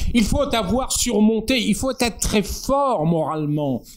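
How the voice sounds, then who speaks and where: A man's very slow delivery with lively intonation. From northern France. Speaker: poet and essayist. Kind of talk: public talk with discussion.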